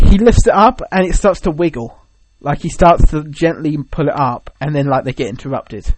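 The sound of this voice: A man with a fairly high pitch at a moderate pace. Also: ordinary pitch variation.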